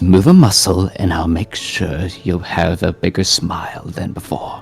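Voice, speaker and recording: A man whispers in a put-on character voice. Faint music plays in the background. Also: moderate pace. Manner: menacing, whispering.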